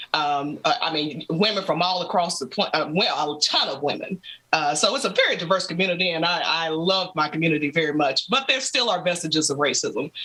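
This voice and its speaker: Noticeable background noise behind a woman with an American accent, fairly low in pitch, fairly quick with hardly any pauses, and ordinary pitch variation. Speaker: gamer and content creator. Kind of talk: casual chat. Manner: animated.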